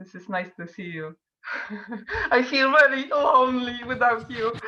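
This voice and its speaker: A woman with a Polish accent talks at a moderate pace in a high voice. Her intonation is lively, and her loudness swings widely. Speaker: artist. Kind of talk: casual chat. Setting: video call. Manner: halting.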